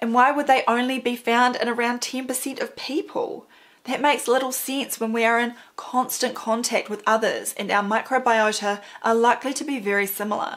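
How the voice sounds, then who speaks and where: Hardly pausing, a high-pitched woman speaks at a moderate pace with fairly even intonation. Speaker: presenter. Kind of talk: scripted explainer commentary. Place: home room.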